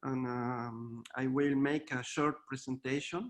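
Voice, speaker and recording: At a fairly slow pace, a man with a Chilean accent speaks in a fairly high pitch. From Chile, Santiago. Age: 40s. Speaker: visual artist. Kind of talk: artist presentation. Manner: halting, hesitant.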